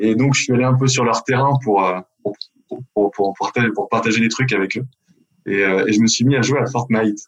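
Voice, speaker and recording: At a moderate pace, a man of medium pitch talks with fairly even intonation and very even loudness, broken by long, frequent pauses. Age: 40s. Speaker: retired pro basketball player, sports event organizer. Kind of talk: interview.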